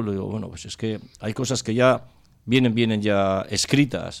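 A man talks in an ordinary speaking voice at a medium pitch and a moderate pace, with fairly even intonation. The recording is very clean with a silent background. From Spain, Cáceres (Extremadura). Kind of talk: casual radio panel discussion.

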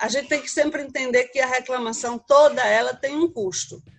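A woman with a Brazilian accent speaks at a high pitch with fairly even intonation. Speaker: business consultant. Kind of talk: interview.

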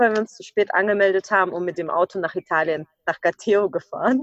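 The sound is dry and close, with no echo, as a woman speaks at a moderate pace. She has an ordinary speaking voice at a medium pitch. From Ukraine. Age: 20s. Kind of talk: podcast interview.

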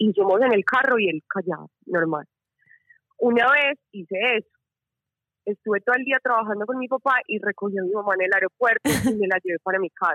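Recorded with a dry, close sound and no echo, a woman speaks at a fairly quick pace with a medium pitch and ordinary pitch variation. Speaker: listener caller. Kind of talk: casual chat. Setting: phone call. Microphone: bad connection.

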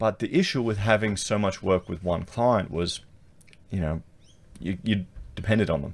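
At a moderate pace and with ordinary pitch variation, the speaker talks in an Australian accent, breaking often for long pauses. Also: man, fairly low pitch for a man. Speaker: YouTuber and architect. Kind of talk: solo commentary video. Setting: screen-share recording. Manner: casual, repetitive.

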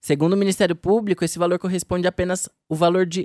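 A man speaks at a fairly quick pace in a high voice, recorded dry and close with no echo. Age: young. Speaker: trainee journalist podcast host. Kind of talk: scripted narration.

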